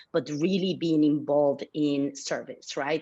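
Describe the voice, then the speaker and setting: A woman speaks with a Mexican accent and ordinary pitch variation over a quiet background. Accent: deep Mexican Spanish. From Mexico (Mexico City). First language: Spanish. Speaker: philanthropy leader. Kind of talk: interview.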